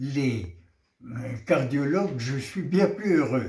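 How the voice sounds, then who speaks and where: The intonation of this man is lively. He talks at a very slow pace. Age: 80s+. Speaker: interviewee, centenarian. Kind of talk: interview answer.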